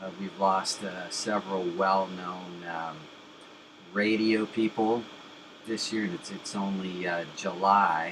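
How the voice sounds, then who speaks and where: Very deep and low in pitch, a man talks at a very slow pace with monotone, flat intonation. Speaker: interviewer and channel host. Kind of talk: tribute intro narration to camera.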